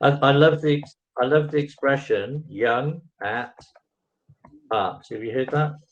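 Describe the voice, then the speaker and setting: In an English accent, a man talks in a fairly high pitch with fairly even intonation, big swings in loudness and long, frequent pauses. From England. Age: 60s. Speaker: online English tutor. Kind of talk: casual chat.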